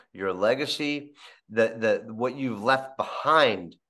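A man speaks at a fairly slow pace with a medium pitch. The background is quiet. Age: 50s. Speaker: podcast host. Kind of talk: interview. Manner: halting. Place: home room. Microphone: video call.

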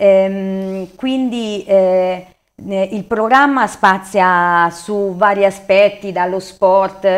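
The voice is a woman's. Her pitch is medium. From Marche, Italy (Corridonia, Macerata province); Marche, Italy. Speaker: local election candidate and engineer; election candidate. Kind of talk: TV interview. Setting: studio. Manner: halting, many fillers. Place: studio. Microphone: lapel.

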